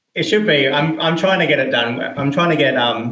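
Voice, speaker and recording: In an Australian accent, a man with a fairly high pitch talks at a moderate pace with ordinary pitch variation, and audible room echo surrounds him. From South Australia. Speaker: indie game developer. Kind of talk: interview.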